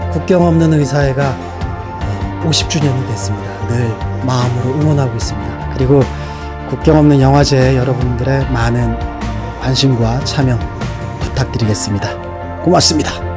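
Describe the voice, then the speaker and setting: Clear music plays behind a man speaking at a moderate pace. He leaves long, frequent pauses. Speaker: actor. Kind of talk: interview answer. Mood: earnest, warm. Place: studio. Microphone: handheld.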